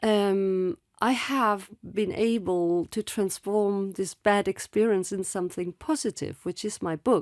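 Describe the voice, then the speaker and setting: On a very clean recording with a silent background and a dry, close sound with no echo, a woman speaks at a medium pitch and fairly slow pace, with ordinary pitch variation and hardly any pauses. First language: French. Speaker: author and former actress. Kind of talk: interview testimony. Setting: studio. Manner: halting.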